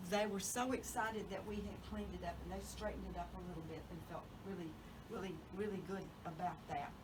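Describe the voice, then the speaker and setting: Against noticeable background noise and audible room echo, a woman with a Southern US accent talks at a very fast pace. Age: 70s. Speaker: genealogy speaker. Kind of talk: talk to a local society meeting.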